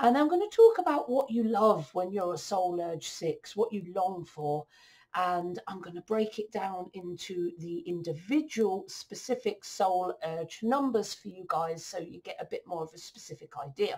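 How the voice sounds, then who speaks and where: A woman speaks in a somewhat breathy voice with lively intonation. She keeps a moderate pace with hardly any pauses. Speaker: coach. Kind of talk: explainer talk over slides. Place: home room. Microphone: webcam.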